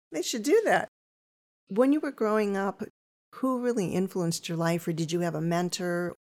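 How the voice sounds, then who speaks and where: A woman speaks at a moderate pace with lively intonation. Her pitch sits in the medium range, in a normal speaking voice. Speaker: podcast host. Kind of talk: casual interview.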